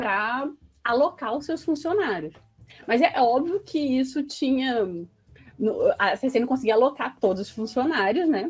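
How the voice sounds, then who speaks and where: With lively intonation, a woman speaks fairly slowly in a high-pitched voice, leaving long, frequent pauses. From Resende, Rio de Janeiro state, Brazil. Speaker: sociologist, postdoctoral researcher. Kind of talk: interview.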